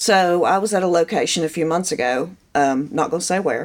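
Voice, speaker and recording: Speaking at a fairly quick pace, a woman has an ordinary speaking voice with a fairly low pitch. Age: 40s. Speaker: painter. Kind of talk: casual chat.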